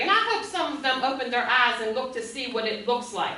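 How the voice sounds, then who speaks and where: A woman's raised, projected voice with an American accent, fairly quick and animated, with very wide pitch swings, audible room echo and noticeable background noise. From Munhall, Pennsylvania (Pittsburgh area). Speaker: resident speaking at council meeting. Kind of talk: public comment, heated debate. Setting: borough council meeting. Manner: loud; animated, emotional.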